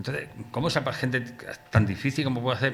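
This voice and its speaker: A man's bright, sharp voice at a very fast pace, with audible room echo. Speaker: poet presenting his book. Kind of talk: book presentation talk. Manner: poorly articulated.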